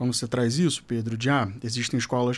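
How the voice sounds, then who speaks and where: A man speaks at medium pitch with fairly even intonation. The recording is very clean, the background silent. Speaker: educator and school director. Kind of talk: podcast panel discussion. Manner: fast.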